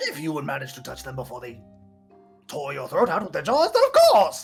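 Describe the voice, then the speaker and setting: Over faint background music and sound effects, a put-on character voice at a middle pitch moves along at a fairly quick pace. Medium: actual play. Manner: talkative, theatrical.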